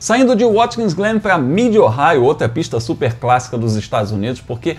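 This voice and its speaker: Very wide pitch swings from a man speaking at a moderate speed. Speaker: motorsport news host. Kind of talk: commentary. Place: home room. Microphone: lapel.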